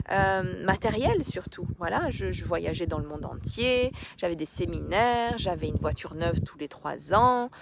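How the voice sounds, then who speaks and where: A woman at a medium pitch and a fairly slow pace. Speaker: life coach and therapist. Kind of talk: live stream talk to viewers. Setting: outdoors on a beach, live. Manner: hesitant, many fillers.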